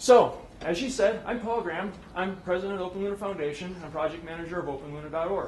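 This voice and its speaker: Noticeable background noise and audible room echo accompany a man talking at a very fast pace in a high pitch. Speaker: conference speaker, space project manager. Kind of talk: conference presentation.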